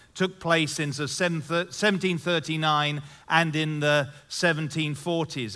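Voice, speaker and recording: A man with a bright, sharp tone, fairly high pitch, ordinary pitch variation and a moderate pace. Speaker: pastor. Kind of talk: sermon. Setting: church stage with audience.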